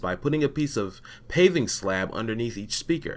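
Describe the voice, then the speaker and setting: A man with an unremarkable speaking voice talks at a fairly quick pace with lively intonation, on a very clean recording with a silent background. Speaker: voice actor. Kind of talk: technical explainer narration.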